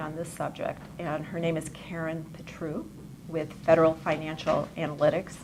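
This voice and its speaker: Quiet and fairly low-pitched, a woman speaks at a moderate pace. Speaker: economic commentator. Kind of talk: lecture. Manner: too quiet for audience. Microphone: too quiet.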